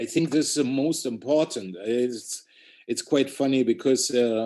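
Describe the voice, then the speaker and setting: A man with a German accent speaks fairly slowly at medium pitch with ordinary pitch variation. His tone is dark and mellow. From Germany. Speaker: street artist. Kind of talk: interview. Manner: halting.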